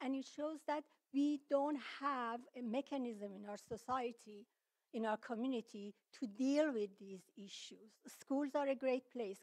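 A woman with a high pitch talks at a moderate pace, with ordinary pitch variation and big swings in loudness over a quiet background. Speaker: public commenter. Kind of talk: public comment at county meeting. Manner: halting, many fillers. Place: meeting room. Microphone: podium.

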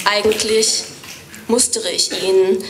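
A woman talks in a monotone, flat intonation with light background noise behind her. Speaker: poetry slammer. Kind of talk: poetry slam performance. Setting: live stage. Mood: wry, storytelling. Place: stage. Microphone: studio mic.

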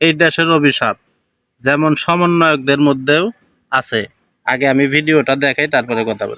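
On a very clean recording with a silent background, a man speaks at a fairly high pitch in a bright, sharp tone. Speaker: commentary video maker. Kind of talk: reaction commentary. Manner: animated.

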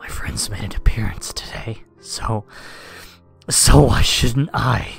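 Faint music plays in the background as a raspy, growling put-on character voice speaks at a fairly slow pace. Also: man, fairly low pitch for a man.

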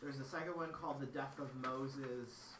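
A man is talking with light background noise. Room echo is audible. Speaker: presenter. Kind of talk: lecture. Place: classroom. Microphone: camera far.

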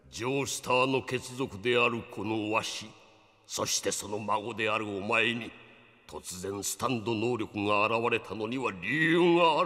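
A man speaks at a moderate pace with a medium-pitched voice. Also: ordinary pitch variation. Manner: grave, explanatory, old-man speech.

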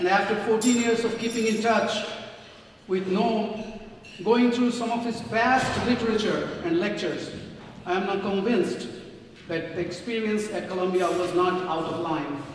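The speech keeps a moderate pace and ordinary pitch variation, with audible room echo and light background noise. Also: man, high pitch for a man. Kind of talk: prepared speech. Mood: earnest, somewhat critical. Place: hall.

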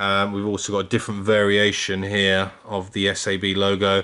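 Here a man talks at a moderate pace. His pitch is fairly low. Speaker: car vlogger. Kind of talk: casual vlog chat. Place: home room. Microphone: phone near.

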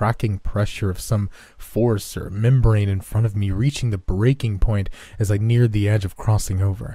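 A natural reading voice carries the text, its pitch varying in an ordinary way.

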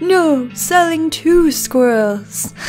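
Over clear music, a woman puts on a character voice pitched high. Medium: game stream. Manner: broken grammar, eager.

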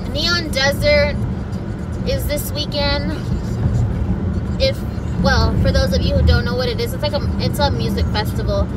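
A woman at a moderate pace with long, frequent pauses, music in the background. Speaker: vlogger. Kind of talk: casual vlog chat. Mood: chatty, animated. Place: car. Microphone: phone near.

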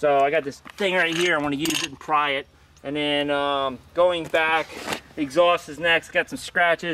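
A man speaks at a moderate pace with fairly even intonation. The sound is dry with no echo, and there is noticeable background noise. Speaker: motorcycle vlogger. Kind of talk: casual vlog chat. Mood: relaxed, joking. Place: street. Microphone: phone near.

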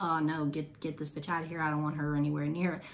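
Putting on a gruff character voice, a woman speaks very fast in a very deep, low pitch with monotone, flat intonation. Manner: dismissive, harsh.

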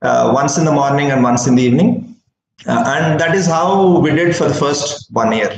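A man's fairly high-pitched voice with lively intonation, light background noise and audible room echo. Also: moderate pace. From India. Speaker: dairy startup founder. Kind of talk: webinar presentation. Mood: warm and smiling. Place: office. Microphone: video call.

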